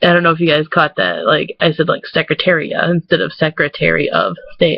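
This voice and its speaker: Talking at a fairly quick clip, a woman has an American accent. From Michigan, USA. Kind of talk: casual talk to camera.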